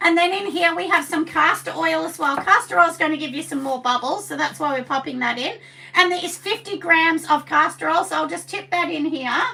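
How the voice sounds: The voice is husky with vocal fry and a bright, sharp tone, moving at a fairly quick pace with ordinary pitch variation. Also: woman, extremely high pitch for a woman.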